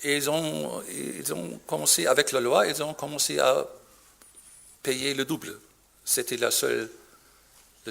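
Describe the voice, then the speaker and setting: A man speaks with long, frequent pauses. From Germany. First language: German (speaking French). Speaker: physician. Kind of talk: conference talk. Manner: halting.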